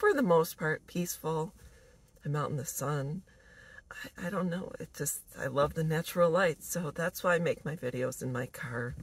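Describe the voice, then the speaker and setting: A somewhat breathy woman's voice, fairly low in pitch, with ordinary pitch variation, a moderate pace and dry sound with no echo. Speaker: vlogger. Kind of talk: casual vlog chat. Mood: warm, smiling, relaxed. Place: car. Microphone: phone near.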